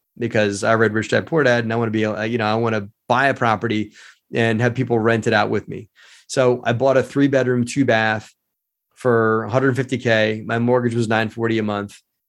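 Against a quiet background, a man with an American accent talks fairly quickly at a medium pitch. His delivery is monotone and flat. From Baltimore, Maryland. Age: 40s. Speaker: real estate investor. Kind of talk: casual chat. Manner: halting.

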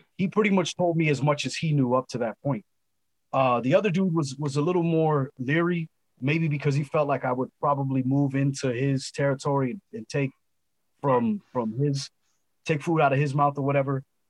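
With an American accent, a plain, everyday voice speaks at a moderate pace with ordinary pitch variation. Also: man, fairly high pitch for a man, dry, close sound with no echo. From Los Angeles, California. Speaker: rapper. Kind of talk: casual interview. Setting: video call.

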